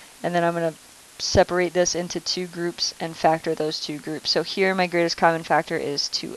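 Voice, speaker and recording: Noticeable background noise sits behind this woman's fairly low-pitched voice. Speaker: math teacher. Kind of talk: recorded lesson tutorial.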